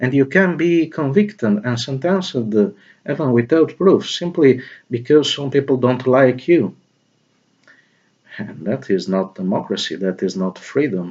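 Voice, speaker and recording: A man at a medium pitch, fairly slow, with very wide pitch swings. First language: not English. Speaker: video blogger. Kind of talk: spoken opinion monologue. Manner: halting, many fillers.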